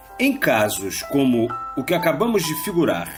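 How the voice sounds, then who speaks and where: Music plays behind a man who speaks at a fairly slow pace in a high pitch with very wide pitch swings. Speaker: former radio announcer reading an audiobook. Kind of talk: audiobook narration of a religious text.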